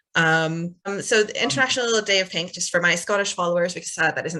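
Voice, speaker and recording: A woman talks very fast in a bright, sharp tone. Her pitch varies in an ordinary way. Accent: Canadian. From Canada. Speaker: activist interviewer. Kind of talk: interview wrap-up. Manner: halting, many fillers.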